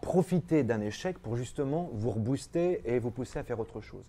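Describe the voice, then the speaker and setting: Lively intonation and a dark, mellow tone from a man. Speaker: actor and singer. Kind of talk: interview. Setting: studio. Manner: halting.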